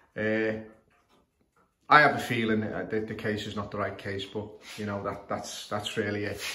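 A man with a Scouse accent speaks at a fairly slow pace, pausing long and often. His fairly low voice has a bright, sharp tone, and the room echo is audible. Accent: Scouse (Liverpool English). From northern England, Liverpool. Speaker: clock repairer. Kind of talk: tutorial. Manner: halting, many fillers. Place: home room. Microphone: phone near.

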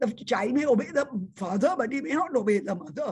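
Her pitch sits high and her intonation is lively. The speaker is a woman. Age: 80s+. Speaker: Montessori teacher trainer. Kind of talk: podcast interview answer. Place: home room. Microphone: video call.

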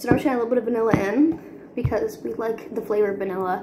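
A woman's voice with ordinary pitch variation over loud background noise. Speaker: home cooking vlogger. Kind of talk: casual cooking tutorial chat. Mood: cheerful, playful. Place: kitchen. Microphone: phone near.

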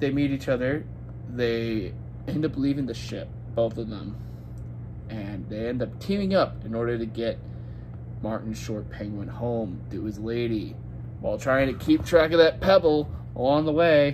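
A man talks with long, frequent pauses at a moderate pace, noticeable background noise running behind him. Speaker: movie reviewer. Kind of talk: casual movie review vlog. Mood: relaxed, mildly unimpressed. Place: home room. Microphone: phone near.

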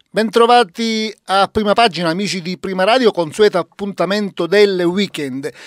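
A man's high-pitched voice at a moderate pace with ordinary pitch variation and hardly any pauses, dry with no echo, over a quiet background. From Italy, Palermo (Sicily); Sicily. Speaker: radio host. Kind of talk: radio interview. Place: studio. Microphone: studio mic.

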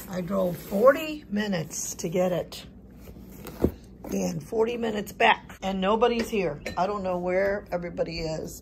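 A woman's fairly slow speech amid noticeable background noise. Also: ordinary pitch variation. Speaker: family vlogger. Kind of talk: casual vlog chat. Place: home room. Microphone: phone near.

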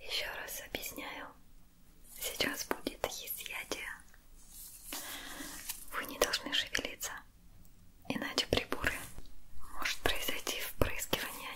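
Whispering, a woman goes at a very slow pace. Her pauses are long and frequent. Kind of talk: soft-spoken roleplay. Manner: soft, close ASMR nurse voice.

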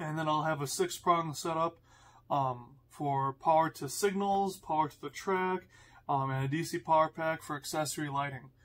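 A man is speaking at a moderate pace. His intonation stays fairly even. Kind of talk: tutorial. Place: home room.

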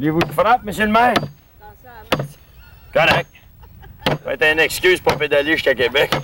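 Noticeable background noise accompanies a man speaking at a moderate pace. The sound is dry with no echo, and his pitch varies in an ordinary way. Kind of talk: casual vlog chat. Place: street. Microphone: old recording.

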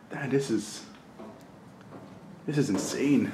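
A man is talking. There is noticeable background noise. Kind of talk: casual vlog chat. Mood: curious, amazed. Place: factory. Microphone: phone near.

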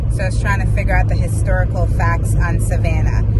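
Loud background noise accompanies a woman whose voice has a dry sound with no echo. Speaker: travel vlogger. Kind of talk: casual vlog chat. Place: car. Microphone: phone near.

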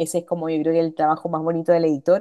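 A woman with a fairly low pitch and a dark, mellow tone speaks over a quiet background. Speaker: lecturer; instructor. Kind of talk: lecture. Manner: fast. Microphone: video call.

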